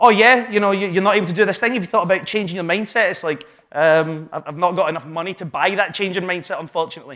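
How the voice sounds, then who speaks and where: A man with a Glaswegian accent talks very fast with hardly any pauses, in a high pitch and ordinary pitch variation. His tone is bright, sharp and animated. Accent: Glaswegian Scottish. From Scotland, Glasgow south side. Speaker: entrepreneur and business coach. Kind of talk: live talk to an audience. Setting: stage with audience.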